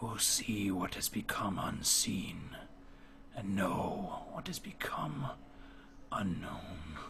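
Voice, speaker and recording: In a put-on character voice, a man speaks at a very slow pace. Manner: eerie, echoing as if inside one's head.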